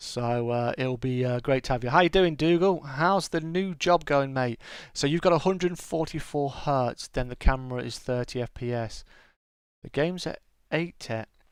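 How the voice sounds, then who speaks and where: A British accent at a moderate pace, with ordinary pitch variation. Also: man, fairly high pitch for a man, quiet background. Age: 40s. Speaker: gaming streamer. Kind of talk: casual chat. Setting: live stream. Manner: halting.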